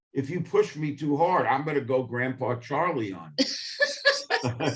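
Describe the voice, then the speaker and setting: A man with a New York accent speaks at a fairly slow pace. His pitch is fairly high and his intonation lively. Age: 70s. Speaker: history professor. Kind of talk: interview. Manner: halting.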